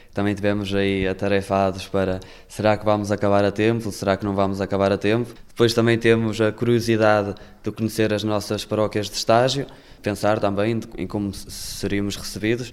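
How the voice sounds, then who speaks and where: A man talks at a fairly quick pace. His pitch is fairly low and his intonation monotone and flat. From northern Portugal, Valença. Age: 20s. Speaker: seminarian. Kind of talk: interview testimony.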